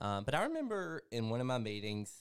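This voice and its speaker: The speaker has a Southern US accent and keeps a moderate pace. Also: man. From Mississippi. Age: 30s. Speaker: life coach. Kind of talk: personal testimony.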